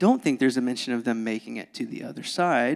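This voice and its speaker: With a Southern US accent, a man talks at a fairly quick pace and a medium pitch. The recording is very clean, with a silent background. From US South. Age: 20s. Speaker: pastor. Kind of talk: sermon. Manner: animated.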